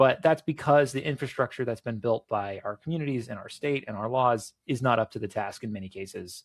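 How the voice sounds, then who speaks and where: A man with an American accent speaks in a normal speaking voice at a medium pitch, fairly quickly and with ordinary pitch variation. His loudness swings widely, and the sound is dry and close with no echo. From Florida, Cocoa. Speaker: political candidate. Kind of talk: interview.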